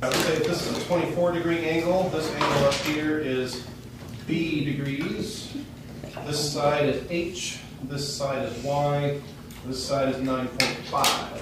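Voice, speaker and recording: A man talks at a fairly slow pace with fairly high pitch and fairly even intonation, with noticeable background noise behind him. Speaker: math teacher. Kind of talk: classroom math lesson.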